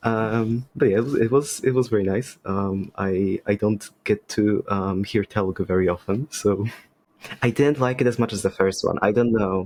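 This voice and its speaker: With a Polish accent, a man speaks at a fairly low pitch. His intonation stays fairly even. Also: moderate pace. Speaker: podcast guest, game designer. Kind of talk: casual chat. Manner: halting.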